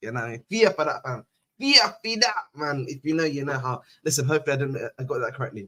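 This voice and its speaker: Very fast and animated, a man's fairly high voice has a bright, sharp tone and very wide pitch swings. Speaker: football fan channel host. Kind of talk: live stream match review. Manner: casual, animated.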